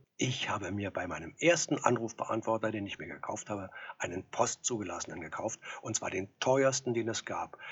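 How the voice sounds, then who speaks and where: The speaker moves at a moderate pace. The voice is somewhat breathy. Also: man, fairly low pitch for a man, ordinary pitch variation. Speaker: actor. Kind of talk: storytelling monologue.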